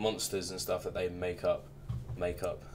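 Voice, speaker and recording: Here is a man talking. He has an English accent. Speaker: reaction youtuber. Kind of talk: casual recap and predictions. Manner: monotone.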